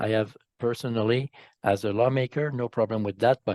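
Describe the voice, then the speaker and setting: In a Quebec accent, a man speaks at a medium pitch and a fairly quick pace, with a dry, close sound with no echo and a quiet background. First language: French. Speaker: politician. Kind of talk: interview. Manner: halting.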